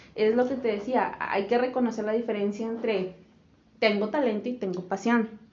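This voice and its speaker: Speaking at a moderate pace in a normal speaking voice, a woman with a fairly high pitch keeps her intonation fairly even. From Monterrey, northern Mexico. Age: 20s. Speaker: podcast co-host, administration graduate. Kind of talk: casual chat.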